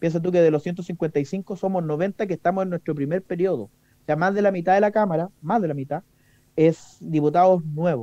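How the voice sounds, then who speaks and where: A man with a high voice and a dark, mellow tone speaks at a moderate pace with ordinary pitch variation. The sound is dry and close, with no echo. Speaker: politician. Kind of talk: radio interview. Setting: studio.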